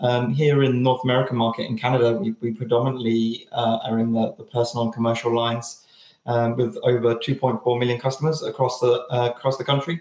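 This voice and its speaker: A man with a British accent talks very fast at a medium pitch. He leaves hardly any pauses, and his intonation stays fairly even. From United Kingdom. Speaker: data science team lead. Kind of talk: presentation. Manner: halting, many fillers and repetitions.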